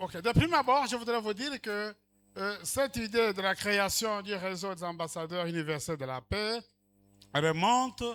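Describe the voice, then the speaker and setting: A man with a high voice talks at a fairly slow pace, his intonation lively, while music plays in the background. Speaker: speaker at network ceremony. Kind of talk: formal speech with interpretation.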